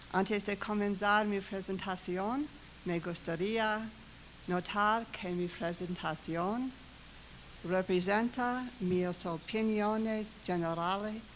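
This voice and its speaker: Someone with an American accent speaks at a fairly slow pace with fairly even intonation. Audible room echo is present. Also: woman, medium pitch for a woman. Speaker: government competition official. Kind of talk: conference presentation.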